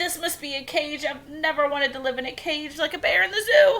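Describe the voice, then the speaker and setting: This is a put-on character voice pitched high. It moves at a fairly quick pace. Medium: read story. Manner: wide-eyed, innocent.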